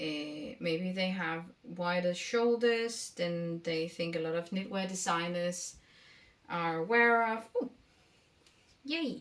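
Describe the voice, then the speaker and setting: A woman with a Danish accent at a very slow pace, with long, frequent pauses and ordinary pitch variation. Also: fairly low pitch for a woman. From Denmark. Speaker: knitting vlogger. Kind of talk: casual vlog talk. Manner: halting, many fillers.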